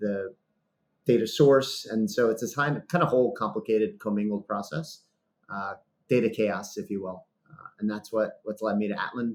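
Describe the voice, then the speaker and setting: A man of medium pitch speaks with an American accent and ordinary pitch variation. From New York City, US. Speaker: sales executive. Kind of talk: podcast interview. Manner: fast.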